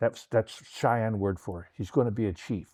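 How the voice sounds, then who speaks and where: Against a quiet background, with a dry, close sound and no echo, a man with an American accent and a dark, mellow tone speaks fairly quickly with ordinary pitch variation. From Oklahoma, US (El Reno). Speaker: retired police forensic artist. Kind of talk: interview. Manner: halting, many repetitions and fillers.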